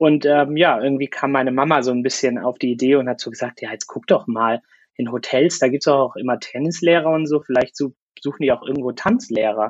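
Fairly quick, fairly high-pitched speech from a man with an unremarkable speaking voice and ordinary pitch variation. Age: 20s. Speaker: former cruise ship worker. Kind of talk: interview. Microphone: crackling microphone, poor sound quality.

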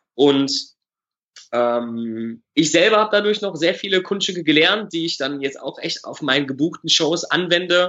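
The intonation is lively. The pace is moderate. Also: man, high pitch for a man. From Germany, Düsseldorf. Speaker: magician. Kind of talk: casual interview.

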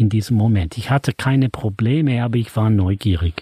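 A man speaks at a medium pitch with ordinary pitch variation and a somewhat breathy quality. The recording is very clean and dry, close-miked with no echo and a silent background. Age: 70s. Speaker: author and money seminar leader. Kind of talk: interview conversation.

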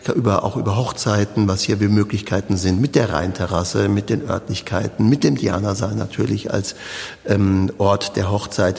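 This man talks at a moderate pace with a fairly low pitch and fairly even intonation. His loudness stays very even, and there is noticeable background noise. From Palatinate, Germany (Südpfalz). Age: 50s. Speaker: cellist and artistic director. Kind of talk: interview.

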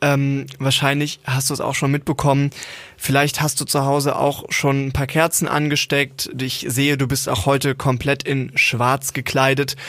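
Noticeable background noise surrounds a man who talks at a moderate pace in a monotone, flat intonation with a fairly high pitch. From Germany, partly Siegerland. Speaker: podcast co-host. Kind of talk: casual chat.

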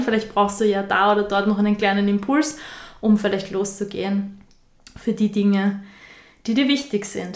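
A woman speaks at a moderate pace and medium pitch with fairly even intonation. Hers is a plain, everyday voice. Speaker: spiritual podcast co-host. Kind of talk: casual chat.

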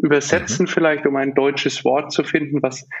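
With monotone, flat intonation, a man talks in a fairly high pitch. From Germany, Nuremberg. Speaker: business founder and consultant. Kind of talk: podcast interview.

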